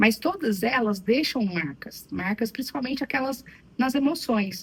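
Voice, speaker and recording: Very wide pitch swings mark this fairly slow delivery in a slight Minas Gerais accent. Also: woman, fairly high pitch for a woman. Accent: slight Minas Gerais (mineiro). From Brazil, Minas Gerais. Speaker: psychologist. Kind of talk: interview.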